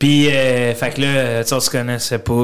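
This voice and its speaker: A man with a Gaspésie accent speaks at a moderate pace. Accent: Gaspésie Quebec French. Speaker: comedian and content creator. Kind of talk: casual interview chat. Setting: studio. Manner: animated.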